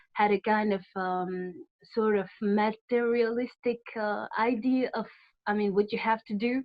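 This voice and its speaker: In a French accent, a woman talks at a fairly slow pace with ordinary pitch variation. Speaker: audience member asking question. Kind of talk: question from audience. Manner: halting.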